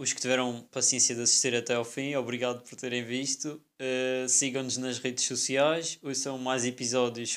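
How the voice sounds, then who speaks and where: A man of medium pitch talks at a moderate pace with monotone, flat intonation. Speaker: podcast co-host, veterinary student. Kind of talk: casual chat.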